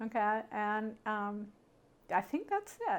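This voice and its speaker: A woman speaks in a plain, everyday voice. Her pitch is fairly high, and her intonation is lively. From Canada. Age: 60s. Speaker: memoir interviewee. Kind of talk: life story interview.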